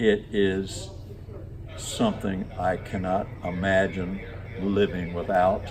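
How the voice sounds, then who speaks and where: Amid noticeable background noise and audible room echo, the speech comes very slowly with long, frequent pauses and monotone, flat intonation. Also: man, very deep, low pitch for a man. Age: 80s+. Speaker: amateur aerobatic pilot. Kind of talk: interview testimony.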